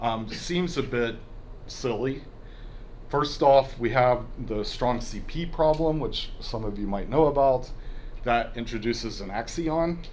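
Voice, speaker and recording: Audible room echo surrounds a man speaking at a fairly slow pace with long, frequent pauses. His pitch is medium, with ordinary variation. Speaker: physics professor giving a colloquium talk. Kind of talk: lecture. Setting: university colloquium with audience.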